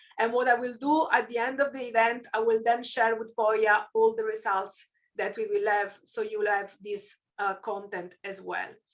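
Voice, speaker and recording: This woman speaks with an Italian accent. There are hardly any pauses. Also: fairly high pitch for a woman, fairly even intonation, moderate pace. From southern Italy, near Naples. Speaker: keynote speaker. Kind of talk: keynote talk. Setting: online event.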